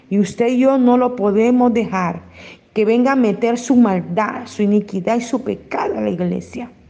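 There is noticeable background noise and audible room echo as a woman speaks at a moderate pace in a fairly high pitch, with ordinary pitch variation. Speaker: pastor. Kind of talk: sermon.

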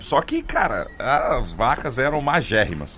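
Noticeable background noise accompanies a man whose voice has a fairly high pitch. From Goiânia, Brazil. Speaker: comedian. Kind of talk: casual chat. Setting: studio.

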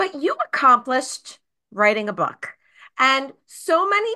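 A woman's raised, projected voice, high-pitched with a bright, sharp tone and very wide pitch swings. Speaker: podcast host and educator. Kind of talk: interview, podcast host.

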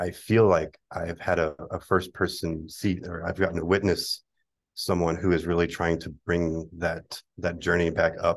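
A man speaks with a very deep, low pitch. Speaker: design club committee member. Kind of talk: casual chat.

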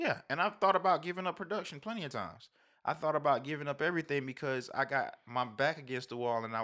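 A man's bright, sharp voice with lively intonation at a fairly quick pace, on a very clean recording with a silent background. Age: 30s. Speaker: music producer. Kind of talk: casual chat.

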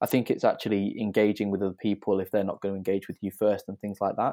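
A man talks at a very fast pace in a fairly low voice with a dark, mellow tone. His intonation is monotone and flat, on a very clean recording with a silent background. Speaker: co-working founder. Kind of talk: interview.

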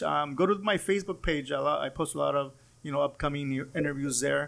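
A man talks at a fairly quick pace in a fairly high voice. It is an ordinary speaking voice, captured in a very clean recording with a silent background. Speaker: podcast host. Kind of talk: casual interview conversation.

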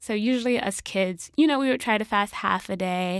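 A woman with an American accent has an unremarkable speaking voice at medium pitch. She keeps a moderate pace with ordinary pitch variation. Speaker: podcaster. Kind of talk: casual interview.

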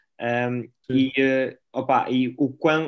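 The intonation is flat and monotone. The recording is very clean, with a silent background. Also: man. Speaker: podcast co-host, basketball coach. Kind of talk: casual interview.

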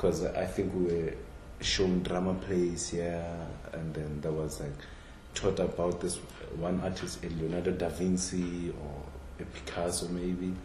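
A man with a South African accent speaks fairly slowly in a very deep, low voice and a flat monotone. Noticeable background noise runs under him. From Limpopo, South Africa. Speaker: contemporary artist. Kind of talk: casual interview conversation. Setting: in-person conversation.

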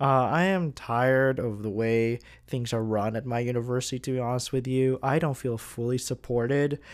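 At a moderate pace and medium pitch, a man speaks with fairly even intonation on a very clean recording with a silent background. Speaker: podcast host and student entrepreneur. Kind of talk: casual solo podcast monologue. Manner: somewhat monotone.

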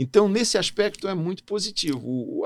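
Very wide pitch swings mark a man's moderately paced speech on a very clean recording with a silent background. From Brasília, Brazil (born in Natal). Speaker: diplomat. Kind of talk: interview.

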